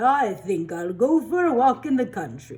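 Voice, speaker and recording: At a moderate pace, a female-sounding put-on character voice speaks at a fairly high pitch. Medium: read story. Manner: sing-song calling.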